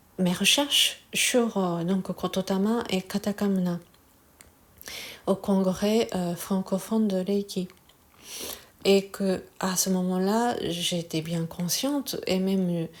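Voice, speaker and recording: At a very slow pace with long, frequent pauses, a woman talks at a medium pitch and ordinary pitch variation. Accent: Japanese. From Japan. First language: Japanese (speaking French). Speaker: Reiki teacher. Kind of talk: casual talk to camera. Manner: halting, many hesitations.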